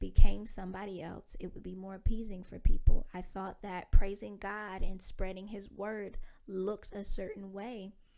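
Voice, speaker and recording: Speaking fairly slowly in an American accent, a woman uses a flat, monotone delivery with a dark, mellow tone at medium pitch. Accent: Alabama accent, mostly hidden. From US South, Wetumpka, Alabama. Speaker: podcast host. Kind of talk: personal reflection monologue. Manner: candid, conversational.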